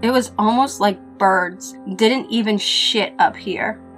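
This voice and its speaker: A woman at medium pitch, very slow yet lively in intonation, with music in the background. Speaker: horror story narrator. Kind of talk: horror story narration.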